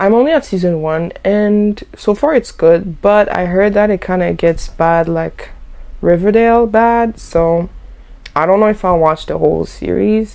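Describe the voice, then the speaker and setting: Her pitch is medium and varies in an ordinary way as the woman talks at a moderate pace. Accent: French. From Haitian background. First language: French. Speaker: lifestyle YouTuber. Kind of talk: casual vlog chat. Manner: animated.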